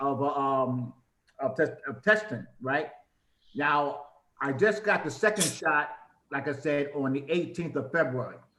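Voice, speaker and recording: His voice carries a fairly high pitch for a man. The room adds an audible echo around it. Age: 70s. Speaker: caller. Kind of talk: asking a question. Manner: hurried.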